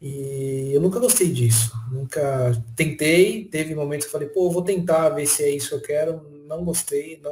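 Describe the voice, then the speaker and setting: Somewhat breathy, a man speaks at a moderate pace and a fairly high pitch with ordinary variation. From São Paulo state, Brazil (Franco da Rocha). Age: 30s. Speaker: technology professional. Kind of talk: casual interview chat.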